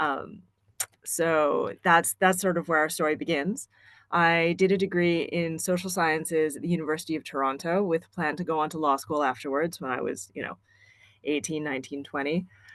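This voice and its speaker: A woman's unremarkable speaking voice in a Canadian accent, fairly low in pitch, at a moderate pace with fairly even intonation, over a quiet background. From Canada. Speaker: planning graduate. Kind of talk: personal career story at online event.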